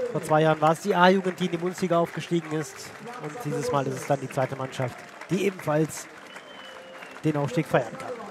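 With crowd noise behind him, a man talks at a fairly quick pace, using ordinary pitch variation and long, frequent pauses, in a dry sound with no echo. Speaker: football commentator. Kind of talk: live sports commentary. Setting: stadium. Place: stadium.

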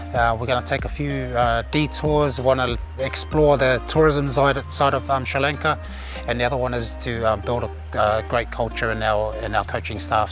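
A man talks at a moderate pace over clear background music, the sound dry with no echo. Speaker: rugby coach. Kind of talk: casual to-camera introduction. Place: open country.

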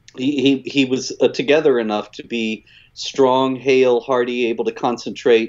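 In an American accent, a man with an ordinary speaking voice and medium pitch talks at a moderate pace against a quiet background. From US South, South Carolina. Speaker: author and critic of Islam. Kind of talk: casual livestream discussion. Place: home room. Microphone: video call.

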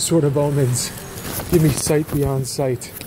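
With fairly even intonation and a moderate pace, a man speaks over noticeable background noise. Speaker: vlogger. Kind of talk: casual vlog chat. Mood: amused, joking. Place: garage. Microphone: phone near.

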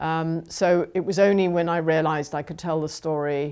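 Her voice sits very deep and low in pitch, and a woman's intonation stays fairly even. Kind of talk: interview answer. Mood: reflective, thoughtful. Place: home room.

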